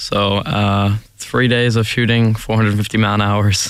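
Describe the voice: Speaking at a fairly slow pace, a man keeps his pitch fairly low with little movement and a clear, smooth tone.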